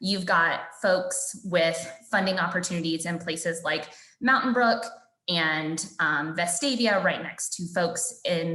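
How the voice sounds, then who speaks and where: A woman's bright, sharp tone at a moderate pace, with audible room echo. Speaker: policy advocate. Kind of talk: webinar presentation.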